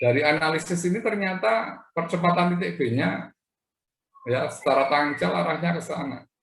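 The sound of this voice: The voice carries vocal fry and a fairly bright tone, moving at a moderate pace with ordinary pitch variation amid audible room echo. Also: man, fairly high pitch for a man.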